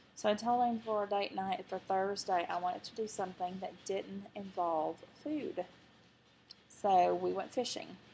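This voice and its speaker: With an Arkansas accent, a woman speaks at medium pitch and a moderate pace. Her intonation stays fairly even. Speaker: vlogger. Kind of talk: personal video diary.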